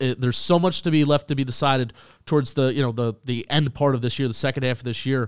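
An ordinary speaking voice from a man, medium in pitch, at a fairly quick pace on a very clean recording with a silent background. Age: 20s. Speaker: football podcast host. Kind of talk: casual chat.

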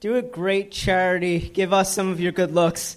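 Here a man talks at a high pitch. His pace is moderate. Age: 20s. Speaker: stand-up comedian. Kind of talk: stand-up.

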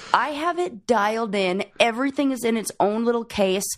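Here a woman with an unremarkable speaking voice and a fairly high pitch talks at a moderate pace. Her intonation is lively, on a very clean recording with a silent background. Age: 30s. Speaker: podcast host. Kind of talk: casual chat.

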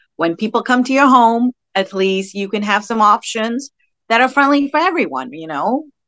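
A bright, sharp tone with lively intonation at a moderate pace, in a dry, close sound with no echo. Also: woman, fairly high pitch for a woman. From Gulf region (Dubai and Bahrain), Sri Lankan family. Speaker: parenting blogger. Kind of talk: casual chat.

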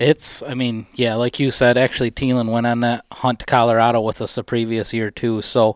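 Over a silent background in a very clean recording, a man talks at a fairly quick pace in a normal speaking voice of medium pitch. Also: dry, close sound with no echo. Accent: American. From Michigan. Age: 30s. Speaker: deer hunter. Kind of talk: casual chat. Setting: studio.

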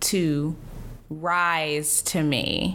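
A woman speaks with an American accent in a very clean recording with a silent background. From US South. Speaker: podcast host and comedian. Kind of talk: casual chat.

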